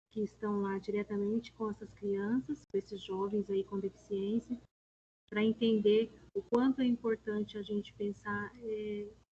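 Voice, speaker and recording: A woman speaks fairly slowly in a somewhat breathy, dark, mellow tone at a fairly high pitch. Her intonation is monotone and flat, with a dry, close sound with no echo. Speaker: special education coordinator leading teacher meeting. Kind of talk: online staff meeting presentation. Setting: video call with screen sharing.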